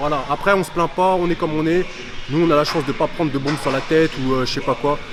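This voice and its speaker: With music playing behind him, a man speaks very fast in a fairly high voice. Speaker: fitness youtuber. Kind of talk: casual chat to camera. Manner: calm, unexcited.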